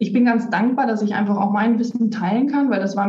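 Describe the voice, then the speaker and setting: Pitch variation is ordinary, with noticeable background noise and audible room echo. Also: woman. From Germany, North Rhine-Westphalia (Lippstadt). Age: 30s. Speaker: kabbalah reader, automotive worker. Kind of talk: interview. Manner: halting, many fillers.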